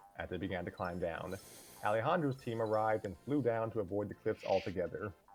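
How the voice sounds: The voice heard reads in a natural way.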